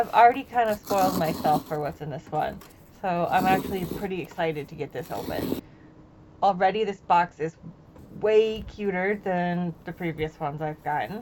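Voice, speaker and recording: Here is an ordinary speaking voice from a woman with a fairly low pitch. She keeps a moderate pace and ordinary pitch variation. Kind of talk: recorded voiceover for a makeup unboxing. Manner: casual, upbeat.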